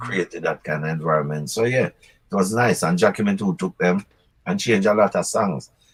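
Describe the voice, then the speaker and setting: A man with a Jamaican accent and a fairly low pitch talks at a fairly quick pace with ordinary pitch variation, in a dry, close recording with no echo. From Jamaica, Clarendon. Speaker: reggae singer. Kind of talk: interview answer.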